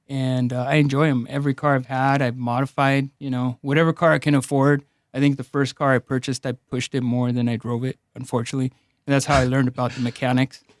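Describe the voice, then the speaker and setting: In a very clean recording with a silent background and a dry, close sound without echo, a man with a Spanish accent talks at a very fast pace and medium pitch, his intonation monotone and flat. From Los Angeles, Mexican immigrant family. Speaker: personal injury attorney. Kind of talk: casual interview. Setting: studio.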